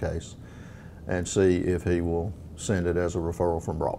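A man speaks with a low pitch and a dark, mellow tone. There is vocal fry, and the pace is moderate.

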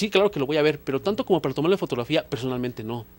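This man talks at a very fast pace, his fairly high voice moving with ordinary pitch variation. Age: 40s. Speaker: photographer; guest. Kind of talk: interview. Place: studio. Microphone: handheld.

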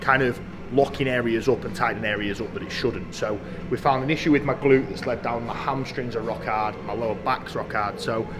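Clear music plays in the background as a man speaks at a fairly quick pace with ordinary pitch variation. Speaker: fitness vlogger. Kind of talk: casual vlog chat. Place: gym.

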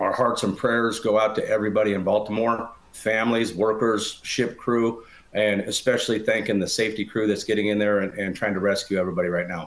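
Monotone and flat, a man's voice holds a fairly low pitch. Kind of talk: interview answer. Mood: serious, somber. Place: home room. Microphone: video call.

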